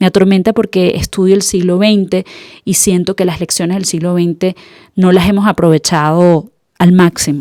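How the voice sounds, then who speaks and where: A woman with a Venezuelan accent, medium pitch and a dark, mellow tone at a moderate pace, in a dry, close sound with no echo. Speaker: podcast host. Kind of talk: podcast monologue.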